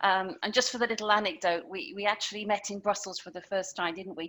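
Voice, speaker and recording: A woman's medium-pitched, bright and sharp voice at a fairly quick pace with ordinary pitch variation. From Britain. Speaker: customer success consultant and speaker. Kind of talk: presentation.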